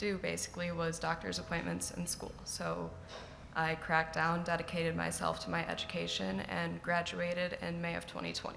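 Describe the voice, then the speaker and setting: Audible room echo surrounds a woman as she talks at a moderate pace. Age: 20s. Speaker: college student, scholarship recipient. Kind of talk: personal testimony speech. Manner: unscripted.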